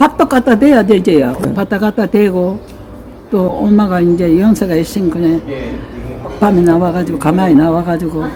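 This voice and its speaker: With lively intonation and a medium pitch, a woman speaks at a moderate pace. Long, frequent pauses break up her speech amid noticeable background noise. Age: 80s+. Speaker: elderly mother recounting family history. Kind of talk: interview answer.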